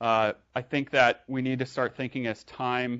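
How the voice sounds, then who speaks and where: Monotone, flat intonation marks this man's speech at a medium pitch. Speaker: tech startup founder and speaker. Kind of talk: meetup tech talk. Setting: live meetup with audience. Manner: fast; hesitant, many fillers and restarts.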